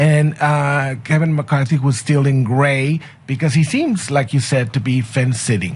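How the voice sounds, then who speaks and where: Noticeable background noise sits behind a man with a fairly high pitch. He keeps a moderate pace, very even loudness and fairly even intonation. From Mexico. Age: 60s. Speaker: sociology professor. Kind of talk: radio interview.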